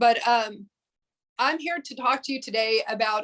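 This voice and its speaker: Speaking at a fairly slow pace, a woman talks in a Texas accent. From Texas Panhandle, Amarillo. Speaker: museum director and historian. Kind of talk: presentation. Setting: video call.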